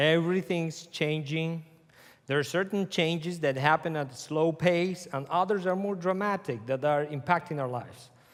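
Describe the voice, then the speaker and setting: A man with a Spanish accent talks in a high pitch with ordinary pitch variation, recorded very cleanly over a silent background. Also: moderate pace. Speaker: conference speaker. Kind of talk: lecture.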